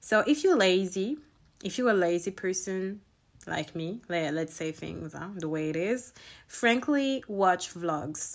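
A woman with a French accent speaks at a fairly slow pace, her intonation lively and her loudness swinging widely. The recording is very clean, with a silent background. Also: medium pitch for a woman. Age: 20s. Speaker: podcast host. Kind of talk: casual monologue. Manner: laughs often.

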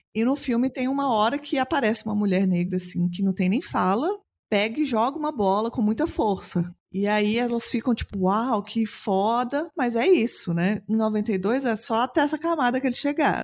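A woman with an unremarkable speaking voice, fairly high pitch, lively intonation, very even loudness and a moderate pace. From Belo Horizonte, Brazil. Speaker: podcast host. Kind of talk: casual chat.

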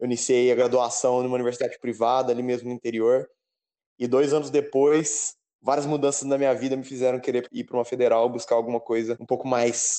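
In a dark, mellow tone, a man talks at a fairly quick pace with a medium pitch and monotone, flat intonation. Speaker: podcast co-host, computer science student. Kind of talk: casual chat.

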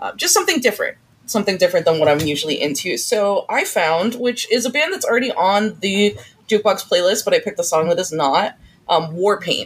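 The voice moves at a fairly quick pace with lively intonation and a slightly husky edge. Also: woman, medium pitch for a woman.

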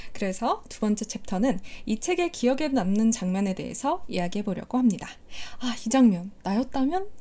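Her tone is dark and mellow, somewhat breathy, with a fairly high pitch for a woman. She speaks at a moderate pace with lively intonation. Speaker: podcast host. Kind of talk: casual book-talk chat. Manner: emotional, animated.

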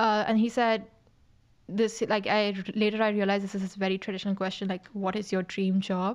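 A woman talks at a fairly quick pace with monotone, flat intonation. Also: medium pitch for a woman, very clean recording, silent background. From India, Mumbai. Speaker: university student and content creator. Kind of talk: casual interview.

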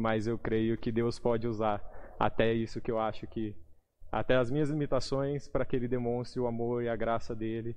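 With audible echo from the room around him, a man talks at a medium pitch. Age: 20s. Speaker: lay preacher. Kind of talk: sermon; testimony.

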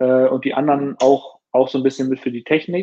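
In a plain, everyday voice, a man with a fairly high pitch speaks at a moderate pace. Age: 30s. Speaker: startup founder and CEO of a watch brand. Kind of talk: casual interview.

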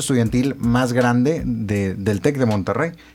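The intonation stays fairly even at a moderate pace. A man speaks at medium pitch. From Tamaulipas, Mexico (Reynosa). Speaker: student radio host. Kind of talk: radio interview. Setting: radio studio. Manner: halting.

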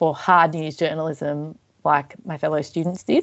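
In an Australian accent, a woman speaks with a fairly low pitch and monotone, flat intonation. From Australia, Melbourne southeastern suburbs. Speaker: arts organisation manager. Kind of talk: interview.

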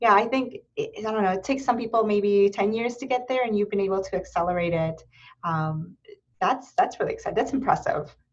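Fairly quick and somewhat breathy, a woman with an American accent talks at a fairly high pitch with lively intonation. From Erie, Pennsylvania. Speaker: podcast host. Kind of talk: casual interview.

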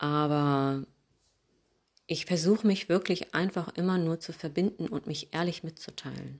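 Using ordinary pitch variation, a woman with a fairly low pitch talks at a fairly slow pace with long, frequent pauses, in a very clean recording with a silent background. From Hamburg, northern Germany. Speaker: yoga teacher. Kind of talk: podcast monologue, advice.

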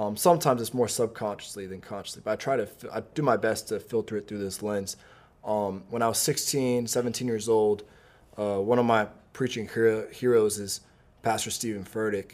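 A man in a normal speaking voice, fairly low in pitch, with fairly even intonation and a fairly quick pace. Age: 20s. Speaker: young adult pastor and preacher. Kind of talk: casual interview Q&A.

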